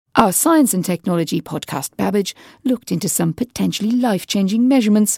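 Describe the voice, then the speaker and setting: In a British accent, a woman with a dark, mellow tone speaks at medium pitch and a fairly quick pace with lively intonation, the sound dry and close with no echo on a very clean recording with a silent background. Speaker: radio host. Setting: studio.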